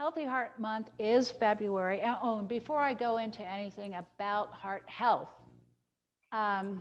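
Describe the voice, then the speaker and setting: In an ordinary speaking voice, a woman talks at a fairly slow pace with a fairly high pitch. Her pitch variation is ordinary, and the background is quiet. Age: 60s. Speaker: dietitian teaching a cooking class. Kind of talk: virtual cooking class and health talk. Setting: video call.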